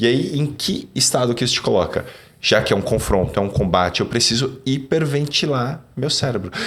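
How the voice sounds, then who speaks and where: A man's medium-pitched voice with lively intonation over noticeable background noise. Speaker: neuroscience and sales speaker. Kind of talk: podcast conversation. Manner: fast.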